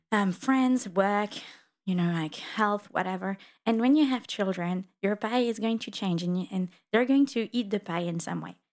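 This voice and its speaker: With a French accent, a woman speaks at a moderate pace and medium pitch with ordinary variation, in a very clean recording with a silent background. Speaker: podcast host, interviewer. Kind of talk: interview conversation.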